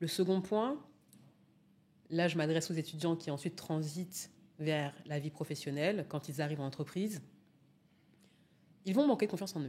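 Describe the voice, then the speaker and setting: Somewhat breathy and dark in tone, a woman speaks at a fairly low pitch and a moderate pace, with ordinary pitch variation and long, frequent pauses. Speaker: public speaking coach. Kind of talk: interview answer.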